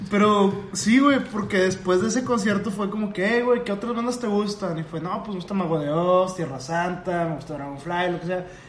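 A man with a Mexican accent talks at a high pitch with ordinary pitch variation and hardly any pauses, amid noticeable background noise and audible room echo. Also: moderate pace. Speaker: podcast co-host. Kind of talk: casual chat.

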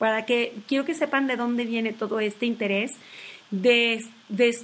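Fairly even intonation, a fairly slow pace, and a fairly high pitch from a woman. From Tabasco, Mexico. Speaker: health coach and podcast host. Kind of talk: casual informative talk. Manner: hesitant, many fillers.

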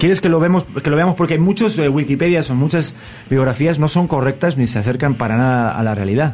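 Speaking with a Spanish accent, a man has a fairly high pitch and a fairly quick pace. His tone is animated and his intonation lively. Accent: Spanish (Spain). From Spain, Madrid. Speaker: talk show host. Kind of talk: casual interview chat.

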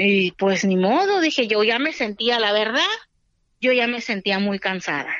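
A woman with a normal speaking voice talks at a fairly slow pace, her fairly high pitch carrying lively intonation at very even loudness. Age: 30s. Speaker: homemaker, COVID survivor. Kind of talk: testimony.

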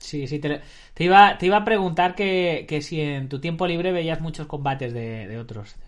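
A man with an ordinary speaking voice talks at a moderate pace, fairly high in pitch. His intonation is lively and his loudness swings widely. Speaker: martial arts podcast host. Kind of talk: interview.

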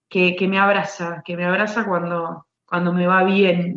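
This woman speaks at medium pitch with an Argentine accent. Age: 30s. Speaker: basketball referee. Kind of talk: interview. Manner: halting, many repeated words.

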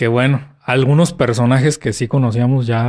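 A man speaks in a plain, everyday voice at a medium pitch. He goes at a fairly slow pace with ordinary pitch variation. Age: 30s. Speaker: podcast co-host, physicist. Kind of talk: casual chat.

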